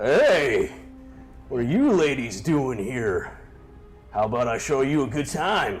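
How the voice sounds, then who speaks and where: Clear music plays in the background as a man does a put-on character voice at medium pitch with lively intonation. He goes at a fairly slow pace, with long, frequent pauses. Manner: leering, forward.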